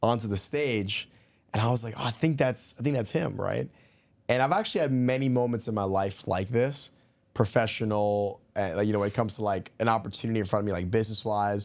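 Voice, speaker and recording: Over a very clean recording with a silent background, a man talks at a fairly quick pace and medium pitch in a normal speaking voice with ordinary pitch variation. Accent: American. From New York, the Bronx. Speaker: podcast guest, former salesman. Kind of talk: casual chat.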